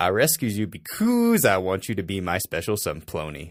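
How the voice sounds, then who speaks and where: A man puts on a rumbling character voice at a fairly low pitch with lively intonation. He keeps a moderate pace on a very clean recording with a silent background. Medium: read story.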